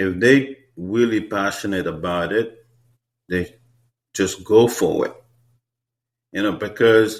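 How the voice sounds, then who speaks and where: A man with a Haitian accent speaks at a fairly slow pace, his fairly low pitch showing ordinary variation. The recording is very clean, with a silent background. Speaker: hair stylist. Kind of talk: interview. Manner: repetitive filler-heavy speech.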